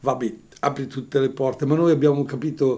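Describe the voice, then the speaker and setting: Monotone, flat intonation runs through this man's speech. His pitch is fairly high and his pace moderate. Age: 70s. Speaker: priest and radio host. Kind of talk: radio call-in show.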